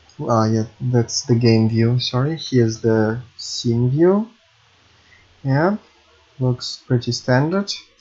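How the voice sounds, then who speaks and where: Somewhat breathy speech with a Russian accent moves at a very slow pace, with ordinary pitch variation and long, frequent pauses. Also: man, medium pitch for a man. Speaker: game programming YouTuber. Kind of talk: tutorial. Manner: halting.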